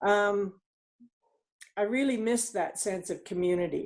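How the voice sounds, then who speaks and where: Speaking with a Western Canadian accent, a woman shows ordinary pitch variation. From Canada, northeastern British Columbia. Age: 60s. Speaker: network marketing team leader. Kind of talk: interview. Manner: halting.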